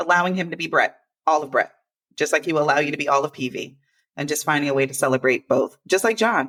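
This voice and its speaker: A woman speaks with an energetic tone. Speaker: podcast host and workplace inclusion consultant. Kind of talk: casual podcast conversation. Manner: fast.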